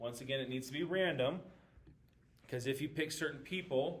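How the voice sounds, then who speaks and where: The pace is moderate and the intonation fairly even. Room echo is audible. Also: man. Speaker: math teacher. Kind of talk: recorded lesson walking through class notes. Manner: casual with frequent fillers.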